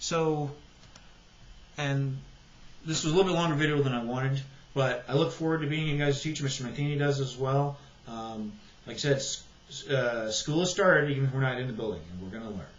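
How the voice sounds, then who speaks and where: With audible room echo, a man with a fairly high pitch talks at a fairly quick pace, using ordinary pitch variation and long, frequent pauses. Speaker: high school biology teacher. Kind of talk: tutorial. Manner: fast. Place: home room. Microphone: webcam.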